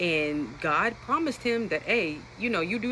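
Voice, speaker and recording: A woman speaks in an animated tone with lively intonation over noticeable background noise. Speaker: Bible teacher on social media. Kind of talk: Bible study talk. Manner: fast.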